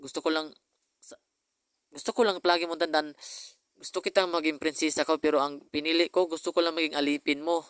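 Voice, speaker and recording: In a dry, close sound with no echo, a man talks at a very fast pace with a fairly high pitch. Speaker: vlogger. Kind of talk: personal video message. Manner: halting.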